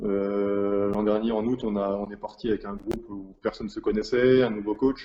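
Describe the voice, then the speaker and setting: A man talks at a moderate pace with hardly any pauses, using a fairly low pitch and monotone, flat intonation. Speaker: professional basketball player. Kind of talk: interview. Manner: halting, many repetitions and fillers.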